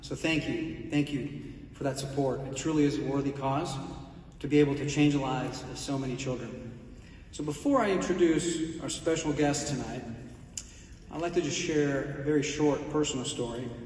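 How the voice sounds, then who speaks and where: A fairly high male voice with fairly even intonation at a moderate pace, in audible room echo with noticeable background noise. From Italy, then Houston, Texas from age eight. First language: Italian. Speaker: corporate executive presenting a speaker at a charity event. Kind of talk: prepared introduction speech.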